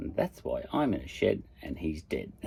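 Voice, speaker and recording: Fairly slow delivery from a man in an Australian accent. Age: 50s. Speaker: podcaster. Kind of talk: casual monologue. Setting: in a shed. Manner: hesitant, lots of fillers.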